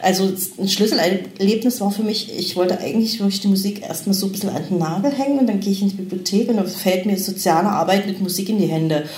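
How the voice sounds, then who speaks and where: A woman with a medium pitch talks very fast and evenly, with hardly any pauses. Noticeable background noise and audible room echo fill the recording. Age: 40s. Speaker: mature student and mother. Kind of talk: interview.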